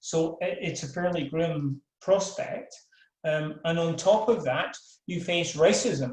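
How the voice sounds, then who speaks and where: A man with a Scottish accent speaks at a very slow pace in a high pitch. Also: ordinary pitch variation. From Scotland. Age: old. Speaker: professor. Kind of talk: webinar talk. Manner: halting, many repeated words.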